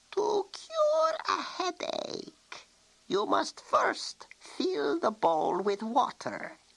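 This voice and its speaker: This man uses a put-on character voice pitched extremely high. His delivery is very slow. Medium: read story. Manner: warm, patient.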